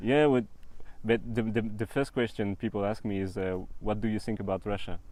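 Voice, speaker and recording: A man with a French accent, fairly low pitch and fairly even intonation, against a quiet background. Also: fairly quick pace. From northern France. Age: 20s. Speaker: traveller. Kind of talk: casual interview. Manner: halting.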